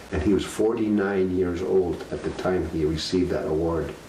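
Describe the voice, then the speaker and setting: There is audible room echo and noticeable background noise. A man speaks with a very deep, low pitch. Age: 70s. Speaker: elder sharing life story. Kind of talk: storytelling. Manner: halting, many fillers.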